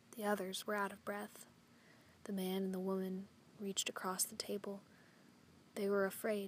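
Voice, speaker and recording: The speaker goes at a moderate pace, broken by long, frequent pauses. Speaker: poetry reader. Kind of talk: poem read aloud over a slideshow, hushed somber narration of a violent scene. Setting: video voiceover.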